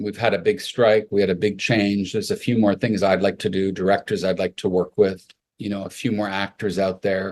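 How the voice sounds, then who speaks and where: A man with a Canadian accent talks at a fairly quick pace, with a fairly low pitch and monotone, flat intonation. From Canada, Montreal. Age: 60s. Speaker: makeup artist. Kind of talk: interview.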